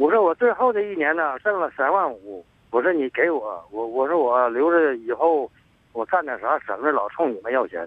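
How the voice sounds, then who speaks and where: A man speaks at a moderate pace in a fairly high voice. His pitch swings very widely. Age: 60s. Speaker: caller, rural migrant laborer. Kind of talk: phone call-in confession. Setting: phone call outdoors. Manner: halting, repetitive.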